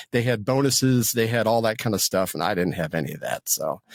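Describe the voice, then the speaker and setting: A man talks at a fairly quick pace with a medium pitch and ordinary pitch variation. The sound is dry and close, with no echo. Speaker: voice actor and Air Force veteran. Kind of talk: interview, life story. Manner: halting, many repetitions.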